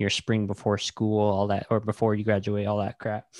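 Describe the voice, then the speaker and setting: This man has an unremarkable speaking voice at a fairly low pitch, captured dry and close with no echo in a very clean recording with a silent background. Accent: American. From Navajo Nation, Arizona (Tuba City). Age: 30s. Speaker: podcast host, guest here. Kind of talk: casual interview chat.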